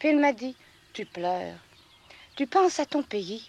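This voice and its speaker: With a high pitch and very wide pitch swings, a woman talks at a moderate pace in a dry, close sound with no echo. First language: regional patois (speaking French). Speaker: farmer. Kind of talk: interview testimony. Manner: hesitant, many fillers.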